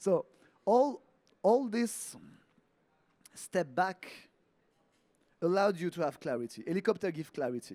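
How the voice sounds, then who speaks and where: A man talks at a fairly slow pace with long, frequent pauses, his high pitch swinging very widely in a dark, mellow tone. The recording is very clean, with a silent background. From France. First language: French. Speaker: yoga teacher.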